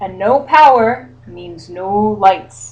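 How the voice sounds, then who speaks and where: A woman does a put-on character voice. Her medium pitch makes very wide swings. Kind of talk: bedtime story. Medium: read story. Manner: polite, calm.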